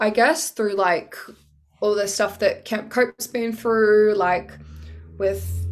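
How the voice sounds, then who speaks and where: Over music in the background, a woman speaks at a medium pitch with an Australian accent. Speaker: singer and nurse. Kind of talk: casual chat. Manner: loud.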